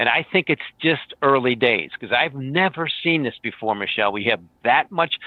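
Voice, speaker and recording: The speaker has a normal speaking voice and a moderate pace. The intonation is lively. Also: man. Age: 50s. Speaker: market strategist. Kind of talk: interview.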